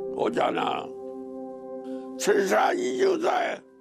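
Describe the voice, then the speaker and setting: Loud music plays in the background while the speech moves at a very slow pace. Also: man. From Anhui, China. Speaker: retired army general. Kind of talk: interview answer. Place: home room. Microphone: lapel.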